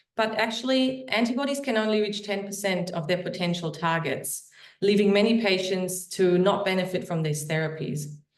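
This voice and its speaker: A woman's medium-pitched voice with ordinary pitch variation, audible room echo around it. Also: moderate pace. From Germany. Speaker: biotech company founder and CEO. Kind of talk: startup investor pitch; self-introduction in a webinar. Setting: online webinar.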